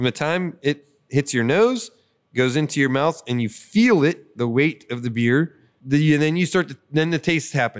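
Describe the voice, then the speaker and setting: An unremarkable speaking voice from a man with an American accent, fairly high in pitch, at a moderate pace with lively intonation, in a dry, close sound with no echo, on a very clean recording with a silent background. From western Pennsylvania, Butler County. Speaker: brewer. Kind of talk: casual chat. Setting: on location at a brewery.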